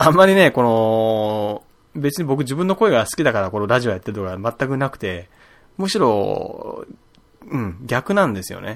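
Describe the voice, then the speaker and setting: With very wide pitch swings and big swings in loudness, a man delivers his lines. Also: medium pitch for a man, moderate pace. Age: 30s. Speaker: podcast host. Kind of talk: casual solo talk.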